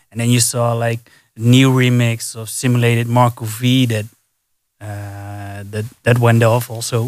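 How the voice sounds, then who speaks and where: Speaking at a fairly slow pace with a Dutch accent, a man of medium pitch keeps a monotone, flat intonation in a very clean recording with a silent background. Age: 30s. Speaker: DJ. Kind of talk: casual chat. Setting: studio.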